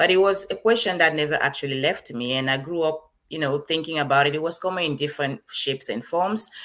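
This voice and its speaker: In a Liberian accent, a woman talks at a very fast pace with hardly any pauses, her very deep, low voice showing ordinary pitch variation. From Cameroon (French-speaking side). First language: Bassa. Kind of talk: interview.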